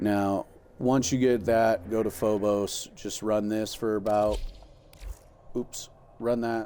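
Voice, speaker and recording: A man speaks with a dark, mellow tone. His intonation is monotone and flat. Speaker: gaming streamer. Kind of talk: tutorial. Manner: fast; casual, filler-heavy.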